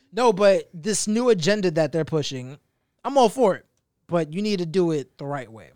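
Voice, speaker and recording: Recorded very cleanly against a silent background, a man speaks with a high pitch and big swings in loudness. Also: lively intonation, moderate pace. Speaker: podcast host. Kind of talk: casual chat. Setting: studio. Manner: animated.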